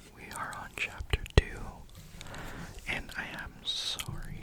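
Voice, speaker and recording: Someone whispers over noticeable background noise. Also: man. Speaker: ASMR creator reading a novel aloud. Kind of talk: sleep story, audiobook-style reading.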